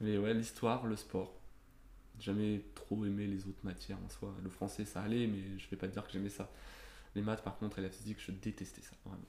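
The voice has a dark, mellow tone and monotone, flat intonation, moving at a moderate pace. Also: man, fairly low pitch for a man. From Normandy, France. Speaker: podcast guest. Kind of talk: casual interview.

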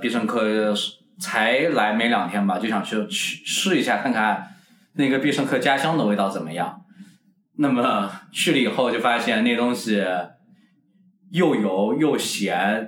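A man's medium-pitched voice, lively in intonation, at a fairly slow pace with audible room echo. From Kunming, Yunnan, China. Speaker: podcast co-host. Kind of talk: casual chat.

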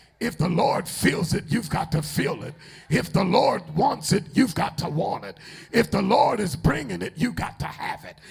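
An animated man with a high pitch shows very wide pitch swings and big swings in loudness against noticeable background noise. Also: moderate pace. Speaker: preacher. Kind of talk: sermon. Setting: church. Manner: animated, call-and-response, exhorting the congregation; emphatic, commanding.

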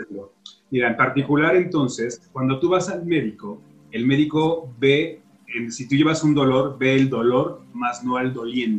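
The pace is fairly slow as a man speaks at a medium pitch. His pitch variation is ordinary. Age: 40s. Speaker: health podcaster. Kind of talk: interview. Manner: hesitant.

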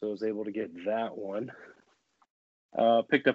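At a moderate pace, a man talks in a medium pitch. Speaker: podcast co-host. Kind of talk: casual chat.

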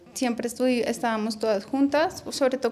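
Over noticeable background noise, a woman talks at a fairly quick pace. Her high pitch stays fairly even in intonation. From Bogotá, Colombia. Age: 30s. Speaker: early childhood education student. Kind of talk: radio interview, personal life story.

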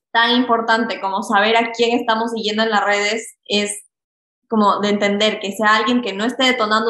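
The woman's pitch sits fairly high, with monotone, flat intonation. Her pace is moderate. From Ecuador. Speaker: health coach and podcast host. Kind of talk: casual interview chat.

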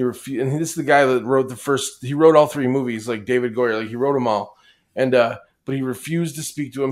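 An unremarkable speaking voice moves at a fairly quick pace. Its intonation stays fairly even. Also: man, very clean recording, silent background. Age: 40s. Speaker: podcast co-host. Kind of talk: casual chat.

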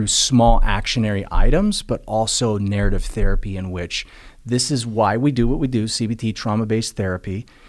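A man speaks at medium pitch in an ordinary speaking voice, moving at a fairly quick pace with fairly even intonation. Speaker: motivational speaker and addiction recovery advocate. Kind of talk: casual interview conversation.

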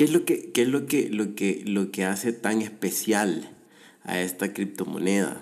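A man's fairly low voice at a very slow pace. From El Salvador. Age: 30s. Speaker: podcast host, economist. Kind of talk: solo commentary podcast. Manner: halting, many repetitions and fillers.

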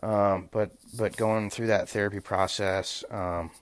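A man's fairly low-pitched voice in an American accent, monotone and flat. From Oklahoma (Choctaw). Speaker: physical therapist assistant, former college football player. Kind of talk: casual chat.

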